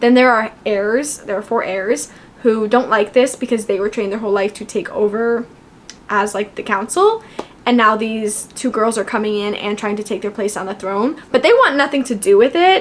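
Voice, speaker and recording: A woman with a fairly high, animated voice and ordinary pitch variation, over noticeable background noise. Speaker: booktuber. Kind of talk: casual book review talk. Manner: fast.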